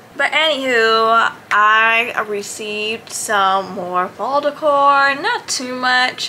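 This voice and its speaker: Over noticeable background noise, a woman speaks at a very slow pace with hardly any pauses. Her fairly high voice shows ordinary pitch variation. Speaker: lifestyle vlogger. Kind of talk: casual vlog. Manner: relaxed, casual.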